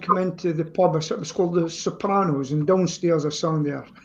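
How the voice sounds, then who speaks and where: A man talks with a Scottish accent. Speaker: amateur singer. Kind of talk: casual chat.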